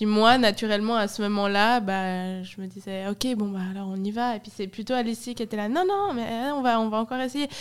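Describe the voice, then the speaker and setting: With hardly any pauses, a woman speaks in an ordinary speaking voice at a fairly quick pace, her pitch fairly high with ordinary variation. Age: 20s. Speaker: ice cream company co-founder. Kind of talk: casual interview. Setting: studio in a cellar.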